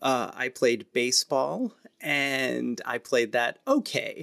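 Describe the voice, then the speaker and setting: A man speaks in an American accent, recorded with a dry, close sound and no echo. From US Midwest, St. Louis area (North County). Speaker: theater director and arts educator. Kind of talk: interview conversation. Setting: video call.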